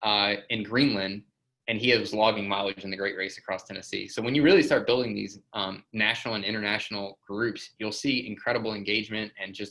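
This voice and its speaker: A man with a fairly low pitch and bright, sharp tone talks at a fairly quick pace. His intonation stays fairly even. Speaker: software company presenter. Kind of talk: webinar presentation. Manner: fast; casual, filler-heavy.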